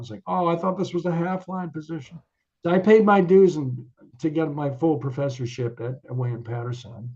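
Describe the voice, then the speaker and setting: A man with an American accent talks at a fairly quick pace in a somewhat breathy voice. His intonation is lively. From Connecticut, US. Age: 60s. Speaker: jazz musician and professor. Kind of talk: interview. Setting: video call.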